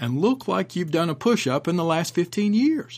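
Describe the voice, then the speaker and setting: Heard on a very clean recording with a silent background, a man with a plain, everyday voice and fairly high pitch speaks at a moderate pace with lively intonation. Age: 50s. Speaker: martial arts instructor and podcast host. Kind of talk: podcast commentary.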